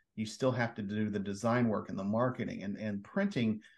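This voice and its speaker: A man talks in a normal speaking voice. His pitch is medium and his pace is moderate. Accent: American. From Oklahoma, Oklahoma City area. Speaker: publisher, former journalist. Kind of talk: interview.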